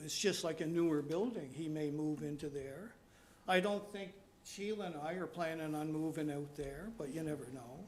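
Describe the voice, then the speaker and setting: A man talks at a moderate pace in a fairly high voice. Noticeable background noise and audible room echo are present. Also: ordinary pitch variation. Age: 80s+. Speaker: resident at public meeting. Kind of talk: public meeting presentation. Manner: halting.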